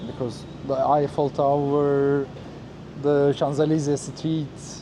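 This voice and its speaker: With a Turkish accent and a fairly high pitch, a man talks against noticeable background noise. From Turkey. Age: 30s. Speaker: former flight attendant, travel vlogger. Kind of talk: casual interview. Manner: halting, with many hesitations.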